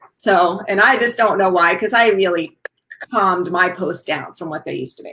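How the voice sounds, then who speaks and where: Speaking with a New York accent at a moderate pace, a woman keeps a medium pitch with ordinary pitch variation and big swings in loudness. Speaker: wellness talk show host. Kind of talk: casual chat.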